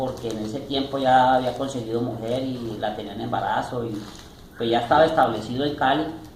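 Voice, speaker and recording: Against noticeable background noise and audible room echo, a man speaks at a medium pitch and a fairly quick pace. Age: 60s. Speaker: retired salesman and store manager. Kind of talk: interview.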